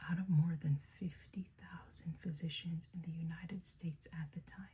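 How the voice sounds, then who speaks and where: A soft-spoken woman whispers at a moderate pace. Her voice is somewhat breathy. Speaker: ASMR creator. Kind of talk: ASMR book reading. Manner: whispered, soft-spoken.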